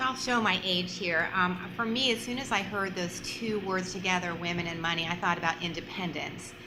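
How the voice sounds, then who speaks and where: Talking at a fairly quick pace with hardly any pauses, a woman uses a medium pitch and ordinary pitch variation, with audible room echo and noticeable background noise. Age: 50s. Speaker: panelist. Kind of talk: panel discussion.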